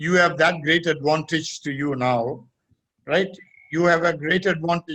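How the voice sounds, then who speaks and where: A man speaks at a fairly slow pace with a fairly high pitch and a bright, sharp tone. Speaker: retired judge, lawyer. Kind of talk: webinar Q&A advice. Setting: video call.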